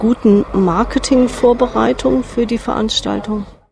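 A woman takes a fairly slow pace, with noticeable noise audible in the background. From Hesse, Marburg. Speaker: urban planner, workshop moderator. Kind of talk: interview.

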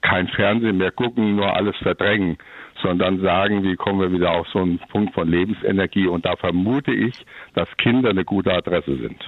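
Moderate pace and fairly even intonation in a man's very deep, low voice. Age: 70s. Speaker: caller, grandfather who keeps sheep. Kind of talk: phone-in call. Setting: phone call.

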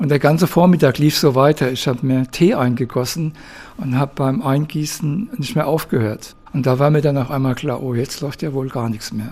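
There is noticeable background noise as a man with a fairly high pitch talks at a moderate pace with ordinary pitch variation. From southern Hesse, Darmstadt. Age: 70s. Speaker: liver transplant patient. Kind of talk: testimony.

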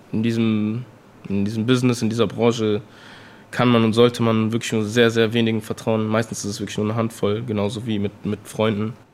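The speech moves at a fairly quick pace with monotone, flat intonation over noticeable background noise. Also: man, medium pitch for a man. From Bonn, western Germany. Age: 20s. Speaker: rapper. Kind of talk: interview. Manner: casual slangy with many fillers.

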